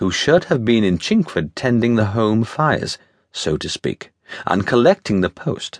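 Dramatic in tone, the voice makes very wide pitch swings at a fairly slow pace, with a dry, close sound, no echo, and a quiet background. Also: man. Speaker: audiobook narrator. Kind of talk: scripted audiobook narration of a Victorian-era adventure novella, read in first person. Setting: studio. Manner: dramatic, measured storyteller's pacing with vivid, period-flavored delivery.

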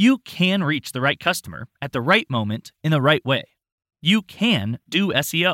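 A man with a fairly high pitch speaks at a moderate pace in a dramatic, upbeat way, his bright, sharp voice showing vocal fry and very wide pitch swings in a dry, close sound with no echo. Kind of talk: infomercial-style sales pitch, scripted audiobook narration. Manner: upbeat, punchy, salesy, tongue-in-cheek; dramatic, emphatic, with mock-sarcastic flourishes.

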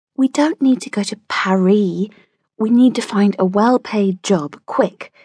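An unforced reading voice with ordinary pitch variation comes through against a quiet background.

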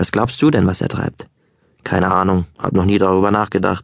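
Speaking at a moderate pace, a man with a very deep, low pitch has an animated, calm tone. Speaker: audiobook narrator. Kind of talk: dramatic audiobook narration, first-person storytelling with character voices. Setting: studio. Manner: animated, lively, shifting between calm narration and playful dialogue voices; conversational, wry and boyish in tone.

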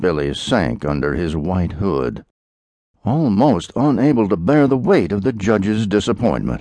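Over a quiet background, a man speaks at a fairly slow pace and fairly low pitch in a dark, mellow tone with vocal fry, his pitch swinging very widely. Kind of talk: audiobook narration of a historical thriller. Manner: dramatic, grave, measured; voices characters in dialogue.

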